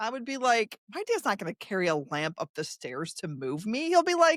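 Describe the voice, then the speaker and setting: In dry, close sound with no echo, a woman speaks in an animated tone at a moderate pace. Her pitch swings very widely, and vocal fry comes through. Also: fairly high pitch for a woman. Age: 60s. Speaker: podcast host. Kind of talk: casual interview chat. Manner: animated, many false starts.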